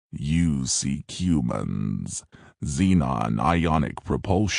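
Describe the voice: A man's put-on character voice, very deep and low, hissing, at a very slow pace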